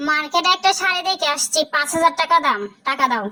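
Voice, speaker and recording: A cartoonish, female-sounding character voice, squeaky and extremely high-pitched, goes at a moderate pace. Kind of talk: comic cartoon dialogue. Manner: bickering, quick comebacks.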